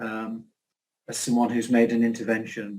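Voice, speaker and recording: With a dark, mellow tone, a man speaks at a medium pitch. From northern England, Newcastle area. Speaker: chair of society online talk session. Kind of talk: closing remarks.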